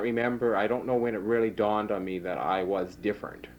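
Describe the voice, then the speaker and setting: Fairly low in pitch, a man with a western Canadian accent speaks with ordinary pitch variation. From Saskatchewan, Canada (rural Rosetown area). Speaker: oral history interviewee. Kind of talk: oral history interview. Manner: hesitant, many fillers.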